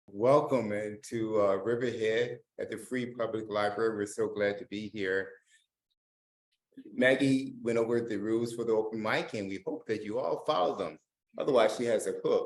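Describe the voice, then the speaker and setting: A man with a plain, everyday voice, pitched in a middle register. He talks at a moderate pace with fairly even intonation. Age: 60s. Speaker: open mic host. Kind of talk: event hosting. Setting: library open mic with audience and zoom.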